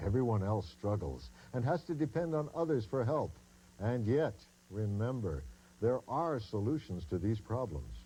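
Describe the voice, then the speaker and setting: A man with a fairly low pitch, a dark, mellow tone and a somewhat breathy sound speaks at a moderate pace with very wide pitch swings and very even loudness. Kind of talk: expert interview soundbite in an infomercial.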